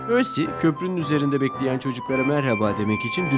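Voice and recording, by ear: With lively intonation, a person is reading aloud in a natural voice.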